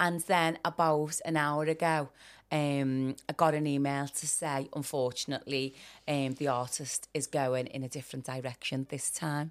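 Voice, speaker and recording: In a Liverpool accent, a woman speaks at a moderate pace with a very deep, low pitch. Her delivery is flat and monotone, captured in a very clean recording with a silent background. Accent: Scouse. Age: 40s. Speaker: performer and dancer. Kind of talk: interview.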